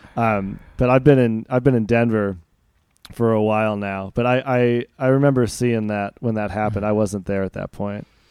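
The speaker is a man with a plain, everyday voice, pitched fairly low. He keeps a moderate pace and fairly even intonation. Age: 30s. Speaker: podcast host. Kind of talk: casual interview.

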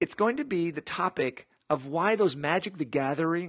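Recorded with a dry, close sound and no echo, a man talks with lively intonation in a high pitch. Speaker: podcast host. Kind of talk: podcast interview.

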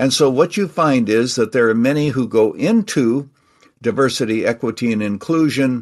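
This man has a normal speaking voice at a medium pitch. His pace is fairly slow, with ordinary pitch variation. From Canada. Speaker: retired pastor and author. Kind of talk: interview.

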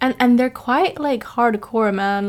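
A woman speaks with a normal speaking voice. Her intonation is fairly even. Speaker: podcast co-host, international student. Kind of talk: casual chat.

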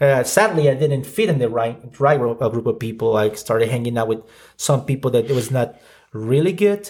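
A man with a Mexican accent, medium pitch, somewhat breathy, lively intonation and a fairly quick pace. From Mexico, Ciudad Juarez. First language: Spanish. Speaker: podcast co-host. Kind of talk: personal testimony.

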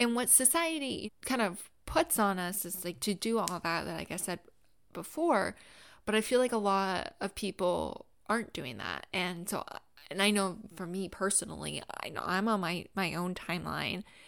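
A woman with an American accent at medium pitch, with vocal fry, lively intonation, and a moderate pace, on a very clean recording with a silent background. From US South, Florida (Gainesville). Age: 30s. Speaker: podcast host. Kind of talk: solo podcast monologue. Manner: casual, conversational with fillers.

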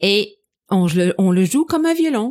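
A woman speaks with an English accent. Her pace is very slow. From Montreal, Quebec (anglophone). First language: English (speaking French). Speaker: medieval musician. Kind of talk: interview. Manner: halting, many repetitions.

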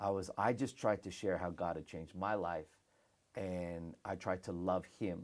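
The recording is very clean, with a silent background. The speaker moves at a fairly slow pace. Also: man, very deep, low pitch for a man. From Australia (Melbourne), early childhood in the Philippines. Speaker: pastor. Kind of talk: casual interview chat. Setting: studio in Melbourne. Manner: animated.

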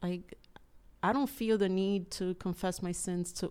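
A woman speaks at a moderate pace in a medium pitch, her tone dark and mellow, with ordinary pitch variation. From Cuba. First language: Spanish. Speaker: churchgoer, business owner. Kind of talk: testimony.

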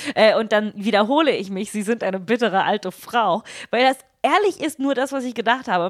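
A woman with a fairly high voice speaks with lively intonation. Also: fairly quick pace. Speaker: podcast co-host, media producer. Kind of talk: casual chat.

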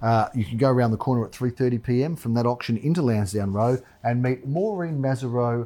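A man's medium-pitched voice with an Australian accent, dark, mellow tone, ordinary pitch variation, very even loudness, moderate pace and hardly any pauses, on a very clean recording with a silent background. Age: 40s. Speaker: real estate agent and show host. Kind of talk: casual chat. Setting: studio.

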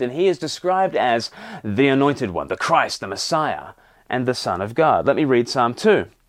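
A man speaks at a moderate pace. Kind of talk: sermon.

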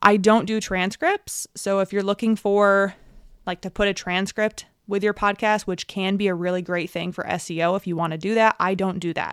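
Medium-pitched woman's voice with an American accent, fairly even intonation and a moderate pace, on a very clean, dry, close recording with no echo and a silent background. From New York. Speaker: podcast host, tech and business consultant, former physical therapist. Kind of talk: casual solo monologue. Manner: unscripted with fillers and stumbles.

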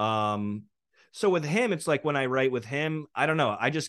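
Over a quiet background, a man talks with lively intonation. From New York. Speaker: rapper and producer. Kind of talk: casual interview chat.

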